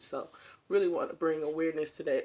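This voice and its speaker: A woman at a fairly quick pace with ordinary pitch variation, in a very clean recording with a silent background. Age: 30s. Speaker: nursing student. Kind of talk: casual talk to camera.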